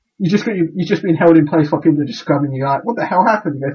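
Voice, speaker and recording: A man's fairly high voice at a very fast pace, with ordinary pitch variation. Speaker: podcast co-host. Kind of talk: casual chat. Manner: halting.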